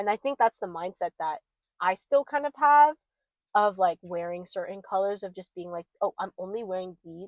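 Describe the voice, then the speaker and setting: A woman speaks in an ordinary speaking voice at a medium pitch and a moderate pace, with lively intonation. The sound is dry and close, with no echo. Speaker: podcast co-host. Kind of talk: casual chat. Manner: casual, filler-heavy.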